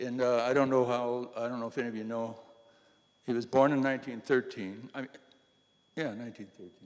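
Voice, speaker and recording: A man's medium-pitched, monotone voice with flat intonation and long, frequent pauses. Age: 80s+. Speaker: retired banker recalling local history. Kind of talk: public talk. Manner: halting.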